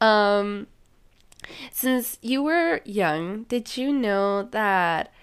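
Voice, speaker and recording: A woman with a Spanish accent speaks at a medium pitch with lively intonation. The recording is very clean, with a silent background. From Mexico. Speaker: podcast host. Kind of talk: casual chat, interview.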